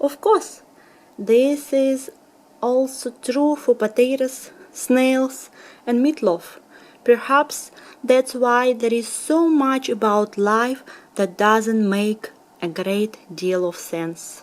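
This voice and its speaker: A woman with a Russian accent speaks at a very slow pace. Her pitch is high and her intonation lively. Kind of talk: bedtime story reading. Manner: soft-spoken.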